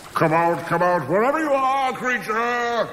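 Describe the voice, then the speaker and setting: A put-on character voice moves at a moderate pace amid clear background noise. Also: man, extremely high pitch for a man. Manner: bellowing loudly.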